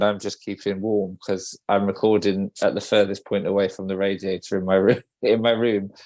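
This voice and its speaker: A man with a British accent talks at a fairly quick pace in a fairly low pitch. His intonation is fairly even against a quiet background. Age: 40s. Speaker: podcast co-host, wedding photographer. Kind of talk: casual podcast chat.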